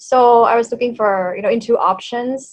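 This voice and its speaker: A woman talks with a Thai accent. Her pitch varies in an ordinary way. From Thailand, Bangkok. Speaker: language coach and YouTuber. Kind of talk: interview conversation.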